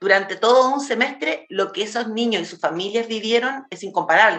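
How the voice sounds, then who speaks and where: Over noticeable background noise, a woman at a medium pitch speaks at a fairly quick pace with hardly any pauses, big swings in loudness and ordinary pitch variation. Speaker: cultural journalist and radio host. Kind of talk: radio interview. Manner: fast.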